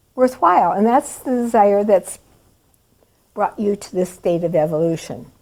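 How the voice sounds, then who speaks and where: The tone is dark and mellow. A woman speaks at a fairly slow pace. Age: 80s+. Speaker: spiritual teacher. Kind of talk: spiritual talk.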